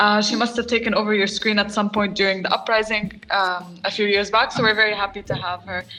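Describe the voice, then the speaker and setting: Over music in the background, a woman of medium pitch speaks at a very fast pace with monotone, flat intonation. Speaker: podcast host. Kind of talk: podcast host conversation.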